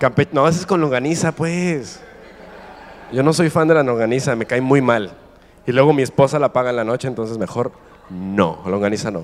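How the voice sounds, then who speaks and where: With a medium pitch and an animated tone, a man talks at a moderate pace, his intonation lively and broken by long, frequent pauses. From Mexico. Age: 20s. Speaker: guest preacher. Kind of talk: sermon. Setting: stage with audience.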